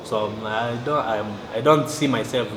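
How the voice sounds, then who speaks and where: Noticeable background noise and clear room echo accompany a man's speech. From South Sudan. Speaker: poet. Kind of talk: interview. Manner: halting.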